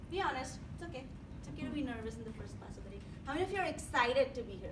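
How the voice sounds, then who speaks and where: Her loudness swinging widely, a woman talks at a very fast pace amid audible room echo and noticeable background noise. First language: not English. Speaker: psychology instructor. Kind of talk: classroom lecture. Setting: classroom with students.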